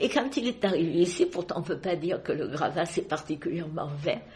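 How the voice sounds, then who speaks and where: A somewhat breathy woman's voice, fairly low in pitch, dark and mellow in tone, at a moderate pace. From Marseille, France. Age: 80s+. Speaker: retiree. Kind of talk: interview answer.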